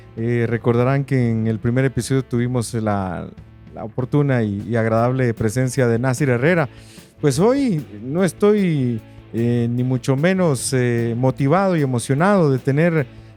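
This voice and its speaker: With music in the background, a man speaks at medium pitch and a moderate pace, varying his pitch in an ordinary way. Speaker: radio announcer and podcast host. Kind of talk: podcast intro.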